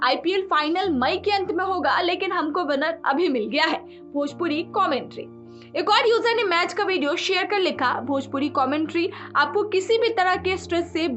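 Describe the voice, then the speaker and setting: Backed by music, a woman talks with an extremely high pitch and lively intonation. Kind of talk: news narration voiceover.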